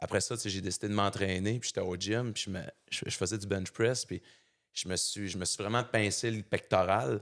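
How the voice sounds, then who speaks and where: With a Saguenay–Lac-Saint-Jean accent, a man speaks at a moderate pace in a fairly low pitch and fairly even intonation, captured in a very clean recording with a silent background. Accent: Saguenay Quebec French accent, noticeable. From Quebec, Saguenay. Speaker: fitness coach and motivational speaker. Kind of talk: podcast interview, personal story. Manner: casual, colloquial, with many fillers.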